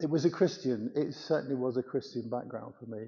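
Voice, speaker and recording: A man with an English Midlands accent, at a moderate pace. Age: 80s+. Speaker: church member giving testimony. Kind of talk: testimony.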